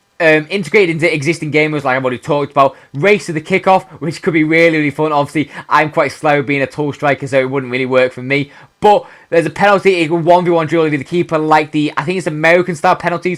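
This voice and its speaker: A man with a British accent talks at a very fast pace, leaving hardly any pauses. His pitch is fairly high and his intonation fairly even. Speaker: gaming youtuber. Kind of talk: casual video commentary.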